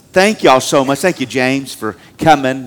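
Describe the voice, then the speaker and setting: With a Southern US accent, a man speaks at a medium pitch with ordinary pitch variation. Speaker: pastor. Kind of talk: sermon. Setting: church.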